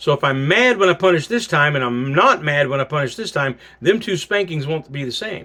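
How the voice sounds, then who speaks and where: Loud and bright with a sharp tone, a man in an American accent speaks at a moderate pace with lively intonation. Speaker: pastor teaching a class. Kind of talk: recorded sermon-style class. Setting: pre-recorded video for class.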